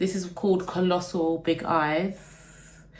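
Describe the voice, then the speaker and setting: Spoken in an animated tone with a London accent, the clip carries audible room echo and noticeable background noise. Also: woman. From east London, Essex. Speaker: beauty and lifestyle vlogger. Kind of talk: get-ready-with-me chat and Q&A.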